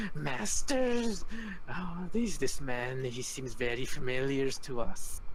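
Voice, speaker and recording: A man puts on a character voice at a medium pitch. Clear background noise can be heard. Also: fairly slow pace. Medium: actual play. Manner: servile, broken grammar.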